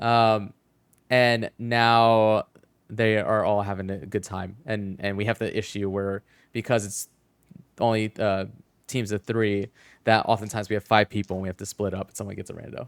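In a dry, close sound with no echo, a man speaks at a fairly low pitch with monotone, flat intonation and big swings in loudness. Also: moderate pace. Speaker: gaming podcast host. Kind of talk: casual chat. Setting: online call, livestream.

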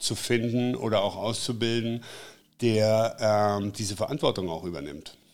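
Medium in pitch, a man talks in an unremarkable speaking voice with ordinary pitch variation. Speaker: drone filming company founder. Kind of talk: interview. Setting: in his workshop.

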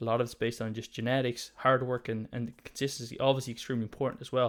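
A man with an Irish accent and medium pitch talks at a very fast pace in a monotone, flat intonation, on a very clean recording with a silent background. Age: 20s. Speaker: podcast host, natural bodybuilder. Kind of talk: casual interview.

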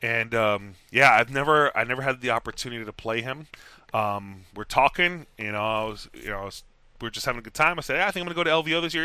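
A man at a very fast pace, bright and sharp in tone, with lively intonation, big swings in loudness, and a very clean recording with a silent background. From Texas. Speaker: tabletop wargame tournament champion. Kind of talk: casual interview.

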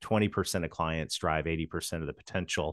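Against a quiet background, a man with a Canadian accent talks at a very fast pace in a very deep, low pitch, the sound dry and close with no echo. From Canada. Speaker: sales consultant. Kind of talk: interview.

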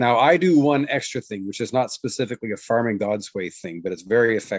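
A man with an unremarkable speaking voice talks at a medium pitch and a fairly quick pace. His intonation is lively, and the background is quiet. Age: 60s. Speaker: farming trainer and missionary. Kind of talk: interview.

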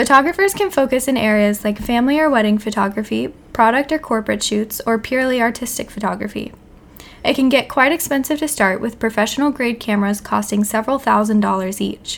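An ordinary speaking voice from a woman, fairly high in pitch, with ordinary pitch variation and a fairly quick pace. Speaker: podcast co-host.

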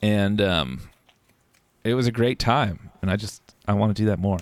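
A normal speaking voice from a man with an American accent, fairly low in pitch, at a fairly quick pace with ordinary pitch variation. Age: 30s. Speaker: podcast host and streamer. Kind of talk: casual chat. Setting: home recording in bedroom.

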